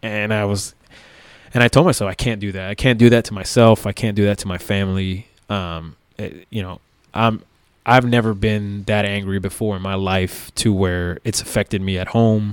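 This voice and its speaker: Man with an American accent and an ordinary speaking voice, fairly low pitch, fairly even intonation and moderate pace, on a very clean recording with a silent background. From South Florida, Miami. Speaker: police officer. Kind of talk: casual interview.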